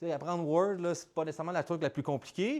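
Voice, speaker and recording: Against a quiet background, a man with a Quebec accent speaks at a high pitch and a very fast pace in an animated tone. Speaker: startup founder and speaker. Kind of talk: conference talk. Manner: casual, animated.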